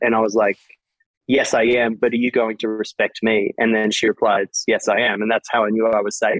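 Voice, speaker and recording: The speaker has an Australian accent and a fairly quick pace. Loudness stays very even throughout. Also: man. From Australia, Sydney. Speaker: DJ and music producer. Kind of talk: casual interview chat.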